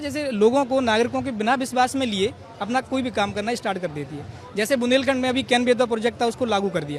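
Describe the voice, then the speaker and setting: A man speaks with extremely high pitch and lively intonation while crowd noise rises in the background. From Madhya Pradesh, Gwalior. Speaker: protester, civil services aspirant. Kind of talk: street interview.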